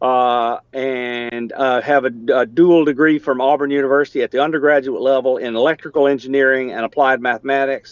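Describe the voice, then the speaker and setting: In a Southern US accent, a man speaks at a medium pitch with monotone, flat intonation, at a fairly quick pace with hardly any pauses. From US South, Alabama. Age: 60s. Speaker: engineer and amateur radio operator. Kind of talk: technical discussion in a video meeting. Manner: halting, many fillers.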